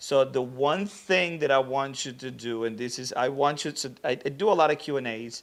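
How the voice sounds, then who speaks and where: A man speaks at a moderate pace with a non-native accent. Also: medium pitch for a man, ordinary pitch variation, hardly any pauses. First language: not English. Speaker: social media manager and livestream host. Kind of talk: livestream Q&A hosting. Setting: livestream. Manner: casual, conversational.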